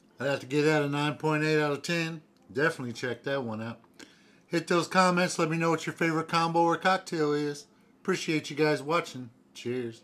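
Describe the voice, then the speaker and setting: A man is speaking at a fairly quick pace. His pitch varies an ordinary amount. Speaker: drink reviewer. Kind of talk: casual vlog chat. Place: home room. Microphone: phone near.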